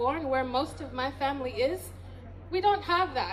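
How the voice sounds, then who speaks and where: High-pitched female speech, ordinary in its pitch variation, with noticeable background noise behind it. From US. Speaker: professor and diaspora activist. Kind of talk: speech at community event; reading aloud a poem.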